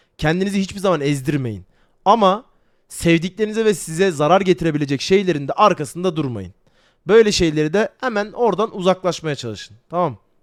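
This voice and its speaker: A man with a high pitch speaks at a fairly quick pace in an animated tone with lively intonation. The recording is very clean, with a silent background. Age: 20s. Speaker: streamer. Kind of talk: casual livestream talk. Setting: livestream on camera.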